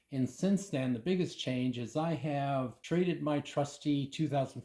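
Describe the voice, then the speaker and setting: A man's dark, mellow, somewhat breathy voice, fairly high in pitch, at a fairly slow pace with ordinary pitch variation. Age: 80s+. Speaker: motorcycle accessory maker. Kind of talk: tutorial.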